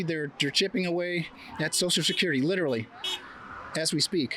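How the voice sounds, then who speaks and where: Over music in the background, a man speaks in a raised, projected voice at a high pitch with ordinary pitch variation. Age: 70s. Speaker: street interviewee at a protest. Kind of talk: street interview.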